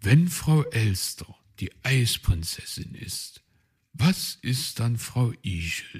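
Plain reading aloud with lively intonation plays against a quiet background.

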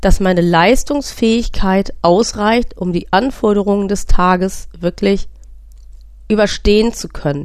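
A woman speaks at a very slow pace. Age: 40s. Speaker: podcast host and patient with a sleep disorder. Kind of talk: personal testimony monologue.

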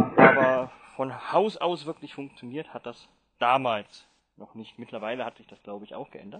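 A man speaks at medium pitch in an unremarkable speaking voice, with ordinary pitch variation. His loudness swings widely while his pace stays moderate. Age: 30s. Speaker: blind Mac user leading a workshop. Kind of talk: online workshop talk.

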